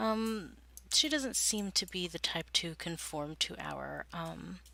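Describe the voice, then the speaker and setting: In a very clean recording with a silent background, a woman speaks quietly at a very slow pace. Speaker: gaming video creator. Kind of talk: let's play commentary. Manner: hesitant, many fillers.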